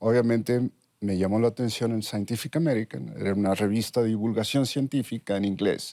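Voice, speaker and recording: Recorded with a dry, close sound and no echo, a man speaks at medium pitch with a dark, mellow tone and a slight northern Mexican accent. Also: ordinary pitch variation, fairly quick pace. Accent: slight northern Mexican (Sonoran) 'sh' sound. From Mexico, Sonora (Ures). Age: 60s. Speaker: neuroscientist. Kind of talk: interview.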